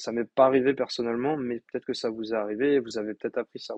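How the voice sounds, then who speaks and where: Very fast and flat in intonation, a man talks in a dry, close sound with no echo. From France. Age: 20s. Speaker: podcast host and coach. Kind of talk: solo podcast monologue. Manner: hesitant with frequent fillers.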